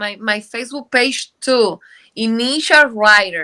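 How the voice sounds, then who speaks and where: A woman's raised, projected voice, bright and sharp in tone, at a fairly slow pace in a very clean recording with a silent background. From Dominican Republic. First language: Spanish. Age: 50s. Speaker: book co-author. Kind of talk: interview. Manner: halting.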